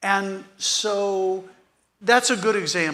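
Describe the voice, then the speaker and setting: Raising and projecting his voice, a man sounds bright and sharp in tone. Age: 70s. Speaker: real estate economist. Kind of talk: panel interview.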